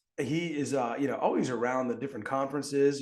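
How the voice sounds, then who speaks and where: A man with a New York accent, a fairly high pitch, and an animated tone. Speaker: podcast host. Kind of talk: casual interview chat. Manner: fast.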